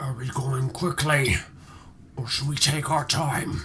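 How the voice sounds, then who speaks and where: A raspy, put-on character voice moves at a fairly slow pace with fairly even intonation over clear background noise. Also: man, medium pitch for a man. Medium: actual play. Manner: terse, practical.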